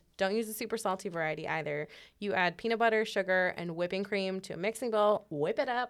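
At a very fast pace, a woman talks with medium pitch and ordinary pitch variation. The recording is very clean, with a silent background. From Illinois, Chicago suburbs. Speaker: news podcast co-host. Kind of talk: casual news chat.

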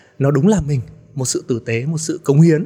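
With noticeable background noise behind him, a man talks at a fairly quick pace and a fairly high pitch. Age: 40s. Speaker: entrepreneur. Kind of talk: interview. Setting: studio.

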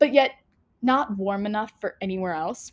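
On a very clean recording with a silent background, a woman with an American accent and medium pitch speaks at a moderate pace in a plain, everyday voice. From Florida, US. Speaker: podcast host, theater student. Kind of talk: casual solo podcast talk.

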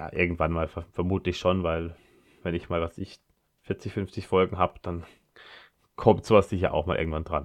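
Against a quiet background, a man with a very deep, low voice speaks at a moderate pace in a monotone, flat intonation, with long, frequent pauses. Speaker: podcast host. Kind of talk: solo podcast monologue. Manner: halting, many filler sounds.

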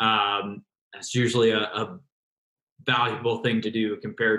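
The voice has a bright, sharp tone. It carries an American accent. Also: man. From New Jersey. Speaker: podcast co-host. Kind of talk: casual chat.

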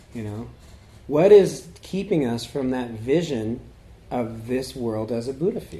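Audible room echo surrounds the recording. A man speaks at a fairly slow pace. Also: medium pitch for a man, big swings in loudness. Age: 30s. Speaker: Buddhist teacher. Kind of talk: dharma talk. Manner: halting.

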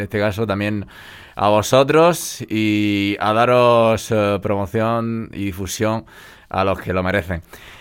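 On a very clean recording with a silent background, a man speaks at a very slow pace with a fairly low pitch and ordinary pitch variation. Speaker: radio host. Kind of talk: radio interview.

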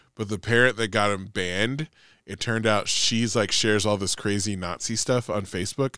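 A man speaks in a bright, sharp tone at a moderate pace with fairly even intonation. The recording is very clean, with a silent background. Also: fairly low pitch for a man. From Nevada, Sparks. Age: 40s. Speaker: podcast co-host, teacher. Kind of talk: casual chat.

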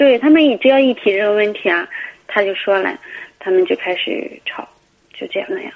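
A woman's fairly quick, fairly high-pitched speech, with lively intonation, big swings in loudness and long, frequent pauses. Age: 30s. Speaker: caller. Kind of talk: phone-in advice call. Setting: phone call.

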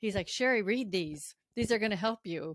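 A woman's normal speaking voice, medium in pitch, with lively intonation. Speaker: podcast host and public safety dispatcher. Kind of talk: interview, conversational.

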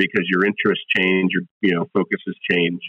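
A man with a fairly low pitch. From South Florida. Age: 30s. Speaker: coffee roaster. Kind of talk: casual chat.

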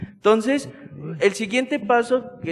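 Over noticeable background noise, a man with a high pitch and ordinary pitch variation speaks with a central Mexican accent. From central Mexico, State of Mexico. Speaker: Salesian religious aspirant. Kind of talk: casual interview.

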